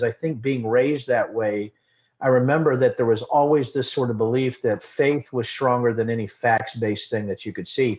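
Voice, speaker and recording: A man with an unremarkable speaking voice talks fairly quickly at a medium pitch with fairly even intonation. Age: 50s. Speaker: former congressman and distillery owner. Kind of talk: casual interview conversation.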